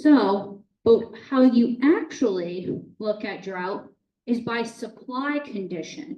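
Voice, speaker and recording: Very slowly and with a slight Boston accent, a woman with a fairly high pitch speaks with lively intonation and big swings in loudness. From Boston area, US Northeast. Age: 30s. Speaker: water utility manager. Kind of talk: public talk with slides. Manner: casual, conversational.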